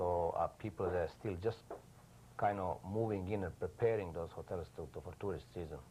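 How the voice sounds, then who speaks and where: This man has a very deep, low pitch and a somewhat breathy sound. He keeps a moderate pace with ordinary pitch variation. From Yugoslavia. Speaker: news photographer. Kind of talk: TV interview. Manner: halting, many fillers.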